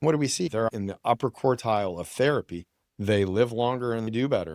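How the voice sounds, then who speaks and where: Recorded very cleanly against a silent background, a man with a normal speaking voice talks at a fairly quick pace and a medium pitch with ordinary pitch variation. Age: 60s. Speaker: physician. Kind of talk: interview.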